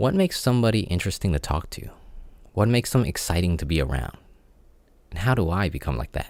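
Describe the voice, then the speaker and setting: A man with a very deep, low pitch and vocal fry talks at a very fast pace, broken by long, frequent pauses, his pitch swinging very widely. The recording is very clean, with a silent background. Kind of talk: personal audio diary. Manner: awkward pauses, lip smacking; halting, unpracticed speaker.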